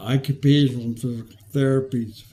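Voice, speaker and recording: A man speaks with a somewhat breathy, dark and mellow tone. His intonation stays fairly even. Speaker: retired teacher, patient with ataxia. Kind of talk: testimony. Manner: slow; halting, with fillers.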